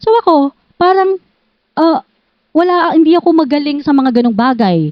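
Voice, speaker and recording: A woman's high-pitched voice with lively intonation, very even loudness and a moderate pace. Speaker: journalist. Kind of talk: interview.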